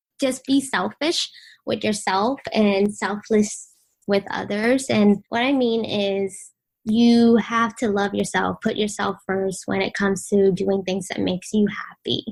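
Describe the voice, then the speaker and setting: Speech in a Vietnamese accent comes at a fairly slow pace on a very clean recording with a silent background. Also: woman, medium pitch for a woman, ordinary pitch variation. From Vietnam, then Washington DC from age 8. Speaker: blogger and influencer. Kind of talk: podcast interview.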